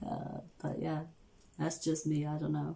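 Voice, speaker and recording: Somewhat breathy and fairly low in pitch, a woman talks at a fairly slow pace. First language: not English. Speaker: tarot reader, channel host. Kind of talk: casual livestream chat, reading viewer comments. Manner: casual, filler-heavy.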